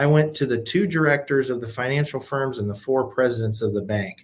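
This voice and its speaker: Speaking with an American accent, a man at medium pitch moves at a fairly quick pace with ordinary pitch variation. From Illinois, US Midwest. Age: 50s. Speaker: nonprofit CEO and leadership coach. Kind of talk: podcast interview.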